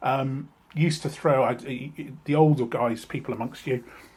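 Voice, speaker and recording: The man's voice is fairly high in pitch and somewhat breathy, with ordinary pitch variation. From South West England (Somerset, Frome/Bath). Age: 60s. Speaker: vlogger. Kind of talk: personal vlog monologue. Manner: halting, many fillers and repetitions.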